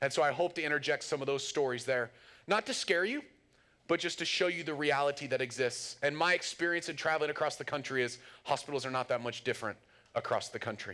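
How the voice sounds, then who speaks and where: The voice races along at a very fast pace with a bright, sharp tone. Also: man, fairly high pitch for a man, ordinary pitch variation. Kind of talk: lecture.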